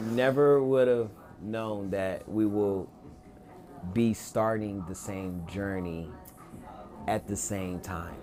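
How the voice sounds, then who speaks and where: Over music in the background and audible room echo, a man talks at a fairly low pitch with ordinary pitch variation. His pace is very slow, with long, frequent pauses. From North Carolina, Greensboro. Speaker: podcast host, realtor. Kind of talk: casual interview.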